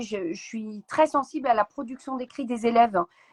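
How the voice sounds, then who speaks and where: A woman's fairly high voice at a moderate pace, with ordinary pitch variation and a dry, close sound with no echo. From France, Seine-et-Marne. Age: 40s. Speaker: author and teacher. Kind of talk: interview. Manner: hesitant, many fillers; energetic.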